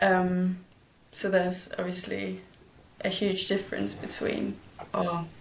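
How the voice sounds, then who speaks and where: A woman speaks fairly slowly with a Danish accent, leaving long, frequent pauses. Audible room echo surrounds her voice. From Denmark, village. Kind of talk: interview. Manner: hesitant.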